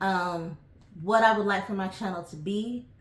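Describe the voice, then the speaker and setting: With an American accent, a woman speaks at medium pitch and a moderate pace with ordinary pitch variation, and audible room echo surrounds her voice. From New York (Bronx) and Hershey, Pennsylvania. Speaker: travel vlogger. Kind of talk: casual vlog monologue. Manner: hesitant, many fillers.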